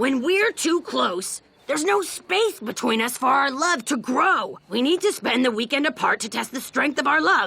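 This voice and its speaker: Using a cartoonish character voice, a woman speaks high-pitched at a moderate pace, with very wide pitch swings and hardly any pauses. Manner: earnest, emotional.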